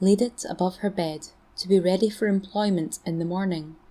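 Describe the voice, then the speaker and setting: In a Scottish accent, a woman talks at a fairly slow pace with a medium pitch, fairly even intonation and a dark, mellow tone. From Scotland. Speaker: storyteller. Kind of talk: folklore story reading.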